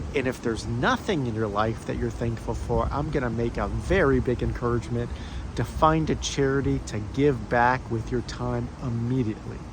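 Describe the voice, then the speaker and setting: Moderate pacing from a male speaker over noticeable background noise. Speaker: former stutterer, speech encouragement coach. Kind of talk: casual talk to camera. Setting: outdoors. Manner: slight remaining stutter.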